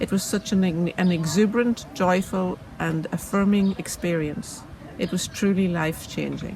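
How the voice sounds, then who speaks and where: Noticeable background noise under a woman speaking at a moderate pace, medium in pitch, with ordinary pitch variation. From Northern Ireland. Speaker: city councillor. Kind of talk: prepared speech.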